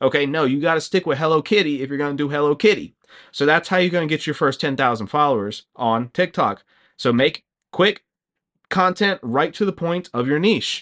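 Over a quiet background, a man with a plain, everyday voice speaks at a fairly high pitch with lively intonation. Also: fairly quick pace, dry, close sound with no echo. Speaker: YouTuber and English teacher. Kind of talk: casual vlog tutorial. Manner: casual, filler-heavy.

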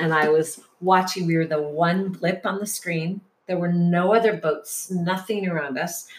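Fairly slow and fairly even in intonation, a woman with an American accent speaks at a fairly low pitch in an unremarkable speaking voice. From US Midwest (Detroit). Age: 50s. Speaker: yoga teacher and healer. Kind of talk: casual interview. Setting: in person.

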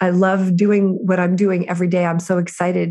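The speaker is a woman with a medium pitch. She has an ordinary speaking voice. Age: 50s. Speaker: prison reform activist. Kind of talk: interview.

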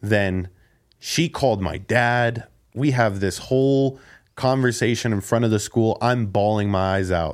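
In a very clean recording with a silent background, a man speaks at a fairly slow pace, his medium pitch showing ordinary variation. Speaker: former special education teacher. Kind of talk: casual chat. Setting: studio. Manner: calm.

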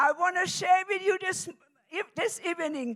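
Lively intonation marks this woman's speech in a German accent. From Germany. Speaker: preacher. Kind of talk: sermon.

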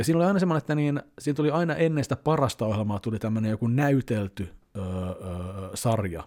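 A man speaks at a medium pitch, his intonation lively and his pace moderate, on a very clean recording with a silent background. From Finland, Helsinki. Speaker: YouTuber. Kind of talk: casual vlog monologue. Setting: at home. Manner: loud; hesitant fillers.

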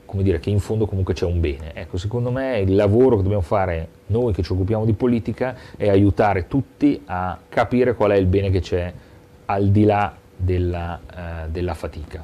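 At a fairly quick pace, a man speaks in an ordinary speaking voice, fairly low in pitch, with ordinary pitch variation. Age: 40s. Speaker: local politician. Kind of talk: interview.

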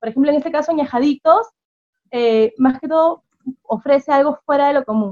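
A woman speaks at a moderate pace with ordinary pitch variation, in a dry, close recording without echo. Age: 20s. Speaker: small business owner. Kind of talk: interview.

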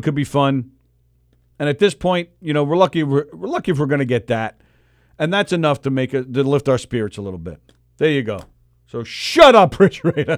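This man has an ordinary speaking voice, fairly high for a man, with an American accent, lively intonation and a fairly quick pace, recorded with a dry, close sound and no echo. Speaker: radio host. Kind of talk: casual chat. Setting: studio.

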